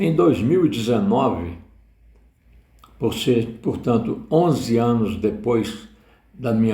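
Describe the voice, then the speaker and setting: Audible room echo surrounds a man talking at a very slow pace. His medium-pitched voice is somewhat breathy and dark, mellow in tone, with ordinary pitch variation. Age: 70s. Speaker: retiree. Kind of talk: personal testimony.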